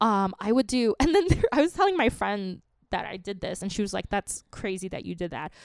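A woman with a plain, everyday voice at medium pitch, lively intonation, big swings in loudness and a fairly quick pace, dry and close with no echo, on a very clean recording with a silent background. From New York, Queens. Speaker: comedian. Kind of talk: casual chat.

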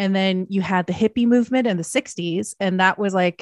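The recording is very clean, with a silent background and a dry, close sound with no echo. A woman at medium pitch, with a plain, everyday voice, talks at a moderate pace. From Canada. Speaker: pop culture historian and podcaster. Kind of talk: casual interview chat.

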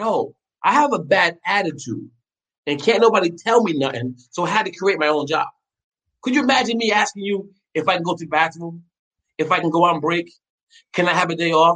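A man's high, bright, sharp voice, animated in tone and lively in intonation, at a fairly quick pace broken by long, frequent pauses. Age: 50s. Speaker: chef. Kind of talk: casual chat.

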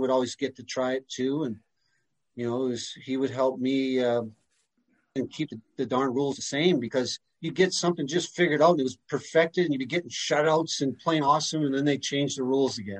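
A man's normal speaking voice at a fairly quick pace, medium in pitch with ordinary pitch variation, in a dry, close sound with no echo. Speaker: former goalie, whiskey distiller. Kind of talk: casual interview.

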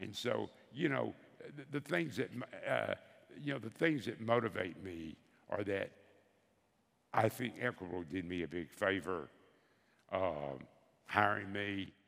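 A man with a Southern US accent talks at a fairly slow pace in a fairly low pitch, using lively intonation and long, frequent pauses. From US South, Bessemer, Alabama. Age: 70s. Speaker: veteran insurance advisor. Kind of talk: onstage interview. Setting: stage with audience.

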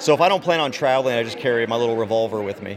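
Here a man talks at a medium pitch with ordinary variation. There is noticeable background noise. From Texas. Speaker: rally attendee, gun rights activist. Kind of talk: vox pop interview. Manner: hesitant, many fillers.

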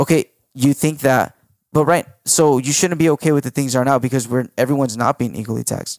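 A man with an American accent talks at a very fast pace in a fairly high pitch with fairly even intonation, recorded dry and close with no echo. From US, Mexican parents. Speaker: podcast co-host. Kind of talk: casual chat.

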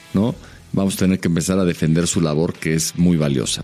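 The speaker is a man with a very deep, low voice. He talks at a fairly quick pace. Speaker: NFL podcast co-host and TV pundit. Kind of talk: casual chat.

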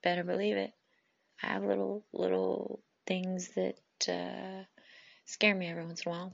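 At a moderate pace, a woman talks. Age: 30s. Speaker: podcast host. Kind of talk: personal monologue. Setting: recording alone on phone. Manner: talkative.

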